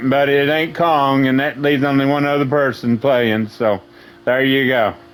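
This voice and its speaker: A man's voice with very even loudness and fairly even intonation over noticeable background noise. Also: fairly high pitch for a man, moderate pace. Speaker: gaming streamer. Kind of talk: gameplay commentary. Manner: loud at times; casual, hesitant with fillers.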